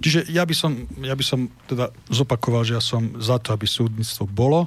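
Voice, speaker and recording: A man's somewhat breathy, medium-pitched voice at a fairly quick pace, with ordinary pitch variation, on a very clean recording with a silent background. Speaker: presidential candidate. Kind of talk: political interview. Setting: studio. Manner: formal.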